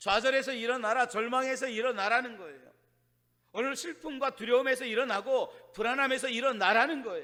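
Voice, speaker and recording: A man with an extremely high pitch speaks in a raised, projected voice, bright and sharp in tone, at a fairly quick pace, with ordinary pitch variation and big swings in loudness. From Chungcheong, South Korea. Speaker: pastor. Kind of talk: sermon. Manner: fast; rough, plain speech.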